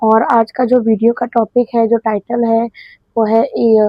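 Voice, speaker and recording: In a fairly high pitch, a woman speaks at a fairly slow pace. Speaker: YouTuber doing reaction videos. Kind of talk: casual video intro.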